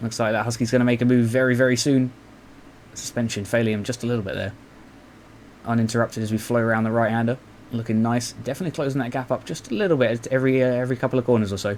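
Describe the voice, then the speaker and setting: With a British accent, a man speaks at a very fast pace. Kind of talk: live race commentary on a motocross video game. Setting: home recording with a noisy fan. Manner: upbeat, excited, casual, jokey.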